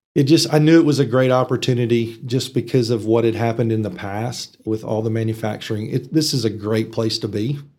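A man talks in a West Texas accent at a fairly quick pace. He leaves hardly any pauses. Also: medium pitch for a man, fairly even intonation. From Texas Panhandle, from age ten (born in Arkansas). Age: 50s. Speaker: economic development executive. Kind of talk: casual interview. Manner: hesitant with fillers.

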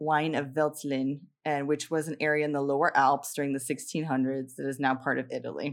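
A woman speaks at a moderate pace in a very deep, low pitch. She hardly pauses, on a very clean recording with a silent background. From Miami, Florida. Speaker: podcast co-host. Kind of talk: casual chat. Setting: studio.

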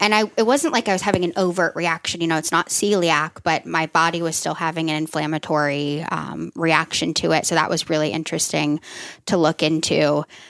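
A woman's fairly low voice with vocal fry, fairly even intonation and a fairly quick pace, in a dry, close sound with no echo. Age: 30s. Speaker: nurse practitioner and health coach. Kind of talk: casual chat.

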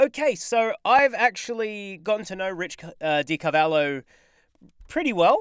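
Delivered at a moderate pace in an Australian accent, the speech comes through a very clean recording with a silent background. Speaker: podcast co-host. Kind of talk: casual chat. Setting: home recording booth.

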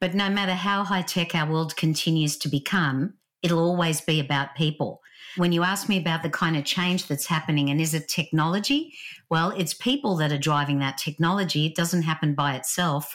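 A woman with a strong Australian accent speaks at a fairly low pitch and a fairly quick pace. Her loudness stays very even, with ordinary pitch variation, on a very clean recording with a silent background. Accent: Australian, still strong. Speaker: author and leadership speaker. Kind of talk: casual interview chat.

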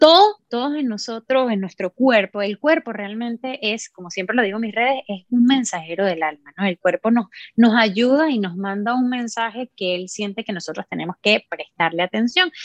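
Delivered at a moderate pace with hardly any pauses, the voice has a dry, close sound with no echo. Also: woman, fairly high pitch for a woman. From Venezuela. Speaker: musician and sound therapist. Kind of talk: casual interview conversation.

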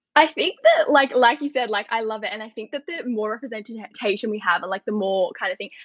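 Speaking in an Australian accent, a woman talks fairly quickly at a fairly high pitch, her intonation lively and her loudness swinging widely. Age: 20s. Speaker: journalist and student women's committee organiser. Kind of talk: casual interview.

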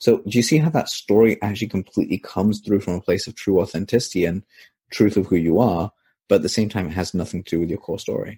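Very fast and somewhat breathy, a man with a fairly low pitch and a dark, mellow tone speaks with ordinary pitch variation in a very clean recording, silent background, and a dry, close sound with no echo. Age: 20s. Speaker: copywriter. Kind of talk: interview.

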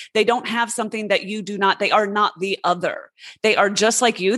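A woman speaks at a moderate pace in an unremarkable speaking voice. The background is quiet. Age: 40s. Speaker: businesswoman and podcast host. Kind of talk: interview conversation.

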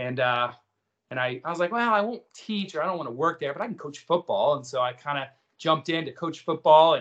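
An ordinary speaking voice from a man with an American accent, at a fairly quick pace. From Kansas. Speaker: school president. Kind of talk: interview.

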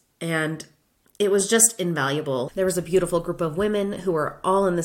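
A woman with an American accent has an ordinary speaking voice and fairly low pitch. She talks at a moderate pace with ordinary pitch variation. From Florida. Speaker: podcast host, former teacher turned UX designer. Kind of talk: solo podcast monologue.

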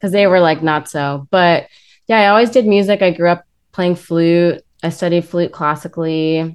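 A woman with an American accent speaks in a normal speaking voice at a moderate pace, with a fairly low pitch and fairly even intonation. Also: quiet background. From US West Coast, Los Angeles. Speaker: actress and musician. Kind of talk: casual chat.

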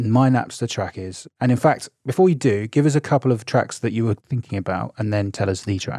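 On a very clean recording with a silent background, a man with an English accent speaks at a fairly quick pace with hardly any pauses, his medium pitch showing ordinary variation. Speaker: podcast co-host. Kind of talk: casual chat; scripted narration.

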